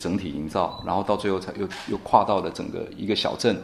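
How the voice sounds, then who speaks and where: This man has a plain, everyday voice, fairly low in pitch, talking at a fairly quick pace with ordinary pitch variation. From Taiwan, Nantou. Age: 30s. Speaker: guesthouse owner and rural entrepreneur. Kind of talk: interview.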